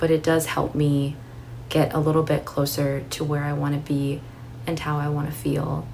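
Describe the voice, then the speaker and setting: A woman speaks at a moderate pace with a very deep, low pitch and a calm, soothing tone. Her intonation is monotone and flat, and audible room echo surrounds her voice. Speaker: YouTuber, book and fragrance content creator. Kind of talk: casual monthly favorites vlog.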